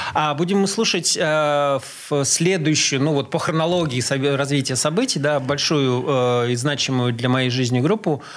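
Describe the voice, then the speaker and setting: A man's voice at very even loudness, with noticeable background noise. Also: fairly high pitch for a man, ordinary pitch variation, moderate pace. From Russia, grew up in several Soviet cities. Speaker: drummer. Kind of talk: interview, casual reminiscing. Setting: radio studio. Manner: halting, many filler sounds.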